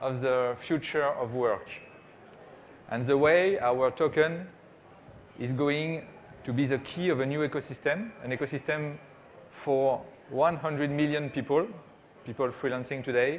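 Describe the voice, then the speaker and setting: Speaking with a French accent, a man talks at a fairly slow pace. His pitch is fairly high, with ordinary variation. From France. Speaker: startup CEO. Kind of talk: conference presentation. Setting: stage with small audience. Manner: hesitant, many fillers.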